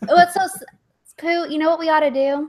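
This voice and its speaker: A woman's high voice with a Texas accent and ordinary pitch variation. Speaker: livestream guest. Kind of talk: casual chat.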